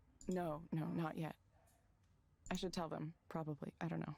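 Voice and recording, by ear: Putting on a character voice, a woman speaks at a low pitch with little pitch movement, a slightly mellow tone, a slightly husky edge and vocal fry. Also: moderate pace.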